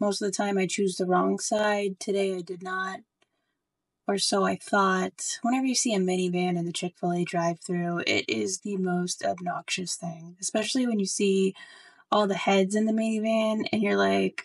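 A woman with an unremarkable speaking voice, medium pitch and moderate pace, recorded dry and close with no echo over a quiet background. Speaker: single mom vlogger, pharmacist. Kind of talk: casual talk to camera, humorous storytime. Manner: humorous, sarcastic, conversational.

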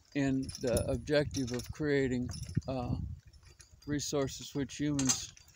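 Dry sound with no echo and noticeable background noise. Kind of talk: casual vlog monologue. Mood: reflective, critical. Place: open country. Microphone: phone near.

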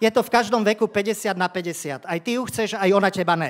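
A man is talking. His pace is moderate. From Slovakia. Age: 50s. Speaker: stand-up comedian. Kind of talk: stand-up. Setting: stage with audience. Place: stage. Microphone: handheld.

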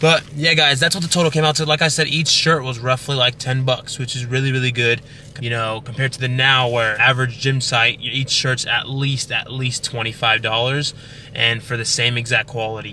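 The dry sound with no echo carries a man speaking at a moderate pace with fairly even intonation over light background noise. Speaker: fitness vlogger. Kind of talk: casual vlog chat. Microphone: phone near.

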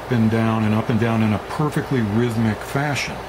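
Noticeable background noise behind a man's moderate-paced speech, its pitch varying in an ordinary way. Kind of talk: tutorial. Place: workshop. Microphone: camera far.

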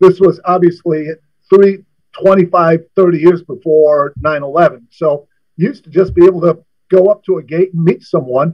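Against a quiet background, a man with a high pitch talks at a fairly slow pace with fairly even intonation. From US Midwest. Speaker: former college basketball coach. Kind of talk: casual interview. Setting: studio. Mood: relaxed, reminiscing. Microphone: video call.

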